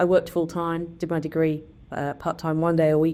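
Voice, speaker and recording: A woman with a very deep, low pitch and a dark, mellow tone, at a very fast pace, against a quiet background. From southern England. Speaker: biotech CEO. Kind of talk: interview. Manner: hesitant, many fillers.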